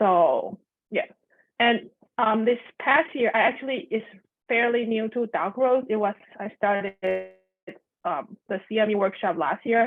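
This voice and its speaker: A woman with a Chinese accent at a moderate pace, with long, frequent pauses and music in the background. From Taiwan. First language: Mandarin Chinese. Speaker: elementary music teacher. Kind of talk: video call meetup sharing.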